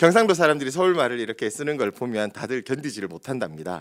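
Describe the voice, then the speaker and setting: Speaking at a very fast pace, a man keeps a medium pitch. His pitch swings very widely. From Daegu, South Korea. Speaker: pastor. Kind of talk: sermon.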